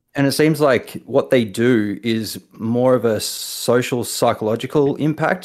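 Speaking in a New Zealand accent at a medium pitch, a man shows ordinary pitch variation and very even loudness. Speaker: caller. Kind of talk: call-in conversation. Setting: remote call.

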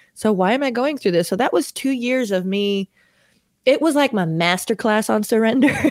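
A woman talks in a plain, everyday voice at a fairly high pitch. She keeps a moderate pace with lively intonation. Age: 30s. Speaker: worship leader. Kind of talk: testimony.

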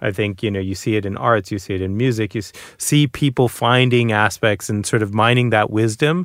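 A man with a fairly low pitch and a normal speaking voice talks at a fairly quick pace in an American accent, with ordinary pitch variation. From Boston, US. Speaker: author. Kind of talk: casual chat.

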